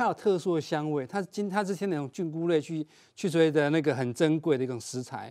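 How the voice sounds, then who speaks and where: Against a quiet background, a man talks at a fairly quick pace. His pitch is fairly high, with ordinary pitch variation. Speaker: agriculture expert guest; guest. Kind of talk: cooking demonstration. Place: studio. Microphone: lapel.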